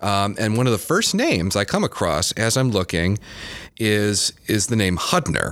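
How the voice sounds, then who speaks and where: With an American accent, a man has an ordinary speaking voice, fairly low in pitch with ordinary pitch variation. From Michigan, Kalamazoo. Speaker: museum curator. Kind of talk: casual chat.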